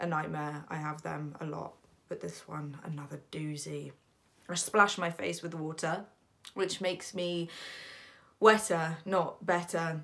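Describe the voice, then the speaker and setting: A woman's fairly low, bright, sharp voice with fairly even intonation against a quiet background. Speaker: actor. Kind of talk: dramatic monologue. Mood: groggy, exasperated. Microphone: phone near.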